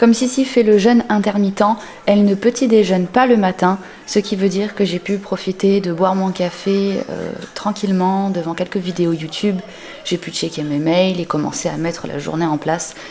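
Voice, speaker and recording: Noticeable background noise is present throughout. The voice shows ordinary pitch variation. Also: woman, medium pitch for a woman, moderate pace. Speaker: lifestyle vlogger. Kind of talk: casual vlog narration. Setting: home garage gym.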